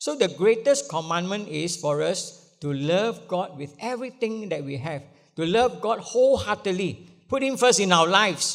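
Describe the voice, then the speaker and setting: Speaking with a Malaysian accent, a man uses a high pitch and lively intonation at a moderate pace. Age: 70s. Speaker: pastor. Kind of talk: sermon. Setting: church. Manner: halting, many fillers.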